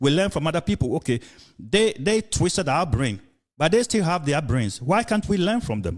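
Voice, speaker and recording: A man's fairly high voice with vocal fry and very wide pitch swings, at a moderate pace. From Ghana. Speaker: podcast host. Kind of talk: casual discussion. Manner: halting, many fillers and repetitions.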